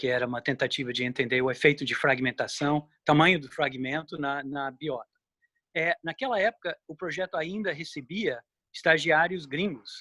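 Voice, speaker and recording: Recorded very cleanly against a silent background, a man speaks at a moderate pace with a dry, close sound and no echo. His fairly high voice has a bright, sharp tone and ordinary pitch variation. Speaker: ornithologist, researcher. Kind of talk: interview.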